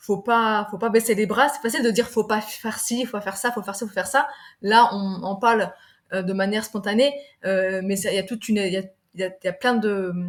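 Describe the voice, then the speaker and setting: A woman talks at a fairly quick pace in a fairly high voice. Her intonation stays fairly even while her loudness swings widely. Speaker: sales director and business leader. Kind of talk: podcast interview. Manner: fast; halting, stumbling.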